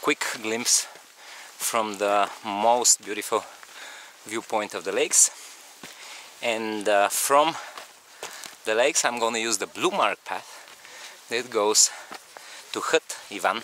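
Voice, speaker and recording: A man's very slow voice with long, frequent pauses, fairly even intonation, a dry, echo-free sound and light background noise. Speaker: hiking vlogger. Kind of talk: casual vlog chat. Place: open country. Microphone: phone near.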